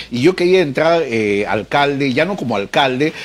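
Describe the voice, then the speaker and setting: In a normal speaking voice, a man talks at a fairly quick pace and medium pitch with lively intonation. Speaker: news show host. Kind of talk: interview.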